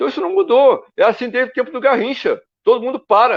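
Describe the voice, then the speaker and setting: A man at a fairly quick pace in an animated tone. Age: 70s. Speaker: football coach and former player. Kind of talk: interview. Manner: halting, repeats words.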